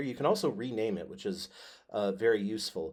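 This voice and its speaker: An unremarkable speaking voice moves at a moderate pace. Its intonation is lively. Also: man. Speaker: high school history teacher. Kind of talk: tutorial. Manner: filler words, casual.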